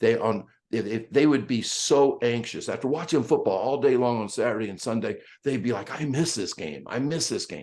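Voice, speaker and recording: An unremarkable speaking voice carries ordinary pitch variation and keeps a moderate pace. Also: man, medium pitch for a man. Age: 60s. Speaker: speed coach. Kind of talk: podcast interview.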